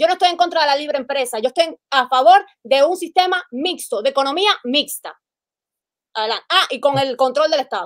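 Her high-pitched voice moves at a fairly quick pace with lively intonation, and the sound is dry and close with no echo. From Cuba. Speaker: live-stream participant. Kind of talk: heated debate.

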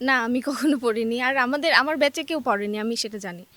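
Ordinary pitch variation in the high voice of a woman. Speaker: student, university admission candidate. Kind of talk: interview. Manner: halting.

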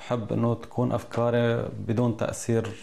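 Dark, mellow tone marks this man's voice. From Syria, Idlib province (Jabal al-Zawiya); Idlib, Syria. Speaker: local election candidate; election candidate. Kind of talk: interview statement. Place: office. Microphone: lapel.

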